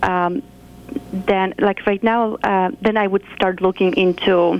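A woman with a Polish accent speaks at a moderate pace, her pitch medium and her intonation fairly even. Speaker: nurse practitioner. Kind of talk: interview.

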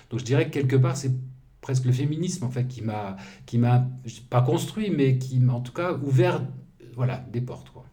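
A man with a dark, mellow, somewhat breathy tone speaks at a moderate pace and medium pitch with ordinary pitch variation, long, frequent pauses, and audible room echo. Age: 60s. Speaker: journalist and activist. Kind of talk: interview. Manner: halting.

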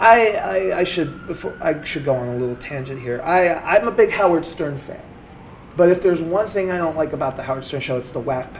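Lively intonation and big swings in loudness mark this man's speech. His fairly high voice moves at a fairly quick pace. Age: 30s. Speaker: stand-up comedian. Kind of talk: interview testimony. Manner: halting.

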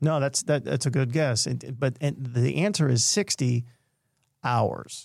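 In a plain, everyday voice, a man speaks fairly slowly at a medium pitch, with very even loudness and ordinary pitch variation. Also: very clean recording, silent background. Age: 50s. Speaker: mental health speaker and storyteller. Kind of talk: storytelling interview.

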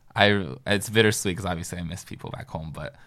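A man speaks with a very deep, low pitch. The recording is very clean with a silent background. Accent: American. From US Northeast, northern New Jersey. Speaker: student. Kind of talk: roundtable discussion.

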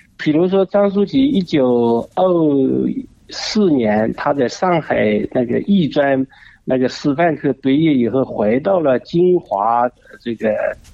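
Speaking at a very slow pace, a man has a fairly high voice. His intonation is lively. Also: very even loudness. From China, Jinhua, Zhejiang. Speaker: art museum director. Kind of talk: radio interview. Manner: hesitant, many fillers.

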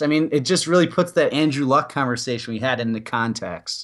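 A man with a normal speaking voice talks at a fairly quick pace. His pitch is fairly high and his intonation lively. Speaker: co-host sports podcaster. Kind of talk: casual chat. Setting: remote call. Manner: laughing, chatty.

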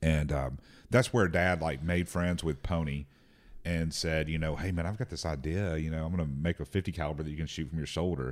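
A man with a Southern US accent talks at a fairly quick pace. His pitch is very deep and low, and the recording is very clean with a silent background. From Tennessee. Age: 40s. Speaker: firearms company executive. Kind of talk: casual chat.

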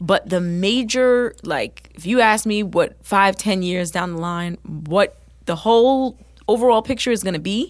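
A woman with an American accent has an unremarkable speaking voice at medium pitch, moving at a moderate pace with ordinary pitch variation. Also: very clean recording, silent background. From New Jersey. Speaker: singer and nurse. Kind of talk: interview.

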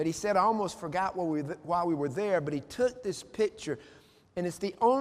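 The speaker is reading plainly aloud.

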